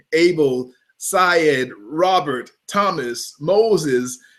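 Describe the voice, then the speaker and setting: Speaking in an American accent, a man uses an animated tone and a fairly high pitch. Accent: Southern US with a bit of New York. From US South. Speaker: photographer. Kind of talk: webinar pre-show chat. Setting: online video broadcast.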